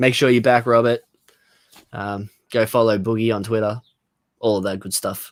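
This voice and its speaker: Moderate pace with long, frequent pauses, monotone, flat intonation, and a dry, close sound with no echo. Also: man, medium pitch for a man. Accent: Australian. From Australia. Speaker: comic book podcast host. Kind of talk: casual chat.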